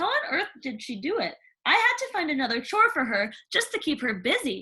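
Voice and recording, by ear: A woman in a put-on character voice, high-pitched with a bright, sharp tone, big pitch swings and a fairly quick pace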